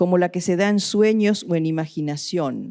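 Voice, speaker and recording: In a very clean recording with a silent background, a woman speaks very slowly in a dark, mellow tone. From Argentina. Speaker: art curator and critic. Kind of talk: lecture. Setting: lecture hall with audience. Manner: formal.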